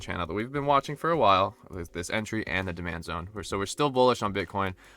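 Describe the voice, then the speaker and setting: Music plays in the background as a man with a fairly low voice talks with lively intonation. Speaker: crypto market analyst YouTuber. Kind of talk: chart analysis tutorial. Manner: halting with self-corrections; casual.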